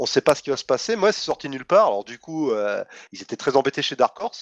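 In a dry, close recording with no echo, a man speaks at a fairly high pitch with very wide pitch swings. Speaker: podcast co-host, comics columnist. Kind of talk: casual chat.

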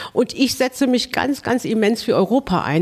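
A woman with a normal speaking voice, at a moderate pace with ordinary pitch variation. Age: 50s. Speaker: mayor. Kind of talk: interview.

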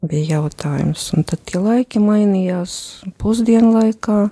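A woman's somewhat breathy voice, dark and mellow in tone, with a dry, close sound and no echo. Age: 50s. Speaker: accountant and retreat participant. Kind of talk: personal testimony in interview. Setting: radio studio.

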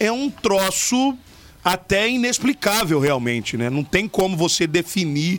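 A man with a high pitch and very wide pitch swings, over noticeable background noise. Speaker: radio podcast host. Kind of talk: casual radio chat.

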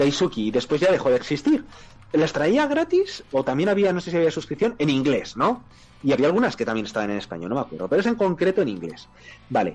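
A man speaks very fast at a fairly high pitch with very wide pitch swings, over noticeable background noise. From Spain. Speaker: podcast co-host. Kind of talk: casual chat.

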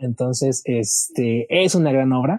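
A man speaks at a medium pitch with a dark, mellow tone. The sound is dry and close with no echo, against a quiet background. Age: 30s. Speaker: musical theatre fan guest. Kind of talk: casual chat.

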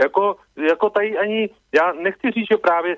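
A man at a moderate pace. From Czech Republic. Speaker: radio caller. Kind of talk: phone-in opinion. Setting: phone call.

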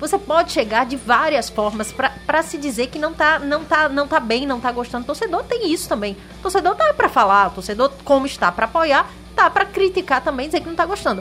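With music playing behind her, a woman talks at a fairly quick pace in a high voice that makes very wide pitch swings. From Sergipe, Brazil. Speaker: sports commentator. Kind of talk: casual chat.

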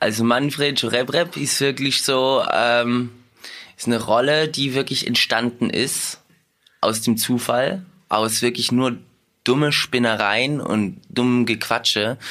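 With a bright, sharp tone, a man talks at a very slow pace and medium pitch, keeping very even loudness and ordinary pitch variation. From Heidelberg, western Germany (born in Russia). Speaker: dancer and actor. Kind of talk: casual interview. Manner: animated.

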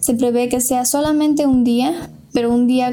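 The speech comes at a fairly slow pace in a monotone, flat intonation. Audible room echo and noticeable background noise are present. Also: woman. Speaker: engineering student and free software activist. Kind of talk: interview.

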